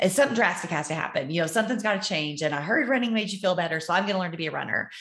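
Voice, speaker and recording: With a Texan accent, a woman speaks at a fairly low pitch with ordinary pitch variation. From Texas, Amarillo. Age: 40s. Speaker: nurse and running coach. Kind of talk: casual chat.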